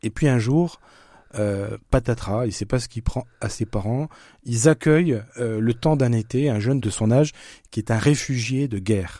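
Dark, mellow tone at a fairly slow pace, ordinary pitch variation, and a very clean recording with a silent background. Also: man. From eastern France (Franche-Comté). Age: 50s. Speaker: author and screenwriter. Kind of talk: interview.

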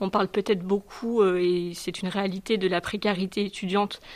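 A woman of medium pitch speaks with monotone, flat intonation. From southern France. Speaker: student. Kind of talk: testimony.

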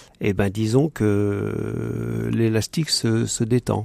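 A very clean recording of a man against a silent background. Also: dry, close sound with no echo. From Paris region, France. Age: 60s. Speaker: participant in a spiritual program. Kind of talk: radio interview. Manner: halting.

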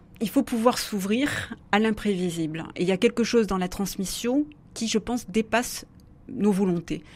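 Her voice is fairly high and somewhat breathy, with ordinary pitch variation. The woman keeps a fairly slow pace. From southwest France, Béarn. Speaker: philosopher and author. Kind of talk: radio interview. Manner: hesitant, many fillers and repetitions.

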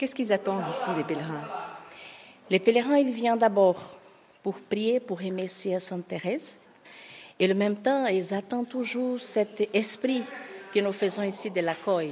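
With a Portuguese accent, a woman at medium pitch talks at a fairly slow pace, with ordinary pitch variation and long, frequent pauses. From Brazil. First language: Portuguese (speaking French). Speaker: nun, guesthouse receptionist. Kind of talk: interview. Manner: halting.

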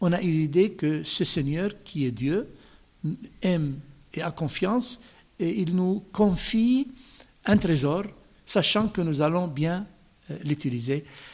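With an Arabic accent and a high voice, a man speaks very slowly, with long, frequent pauses. His intonation is lively. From Palestine (Bethlehem). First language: Arabic (speaking French). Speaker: bishop. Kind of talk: radio interview.

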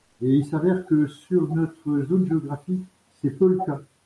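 At a moderate pace, a man speaks in a dark, mellow, somewhat breathy tone. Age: 60s. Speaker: volunteer, retired banker. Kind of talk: radio interview. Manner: halting.

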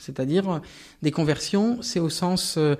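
A man speaks at a fairly quick pace in a high voice with ordinary pitch variation, on a very clean recording with a silent background. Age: 50s. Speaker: Protestant pastor and ecological activist. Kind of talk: interview testimony. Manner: hesitant, many fillers.

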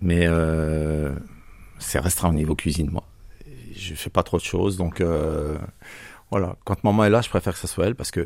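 A man's very deep, low voice at a moderate pace with fairly even intonation and long, frequent pauses, on a very clean recording with a silent background. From Franche-Comté, France. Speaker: father on sick leave. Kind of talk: interview. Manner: halting.

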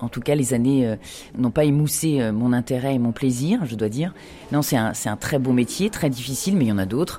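A woman's very deep, low voice, dark and mellow, at a fairly quick pace with ordinary pitch variation. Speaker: prison director and author. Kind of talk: interview.

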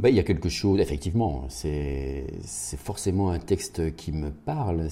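His voice is very deep and low, with a dark, mellow tone and vocal fry. The man speaks at a fairly slow pace with ordinary pitch variation. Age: 50s. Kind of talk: radio interview. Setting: parish house. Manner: hesitant, many repeated words.

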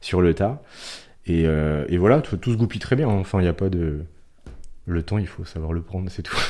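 On a very clean recording with a silent background, a man with a very deep, low pitch and a dark, mellow tone speaks at a moderate pace with ordinary pitch variation and long, frequent pauses. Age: 30s. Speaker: horse breeder and community manager. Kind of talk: radio interview. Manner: halting.

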